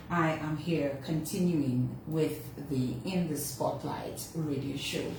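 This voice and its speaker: In a room with audible echo, a woman talks at a very slow pace. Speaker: radio host. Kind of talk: radio show opening monologue. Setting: radio studio, also streamed on social media. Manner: casual, halting with fillers.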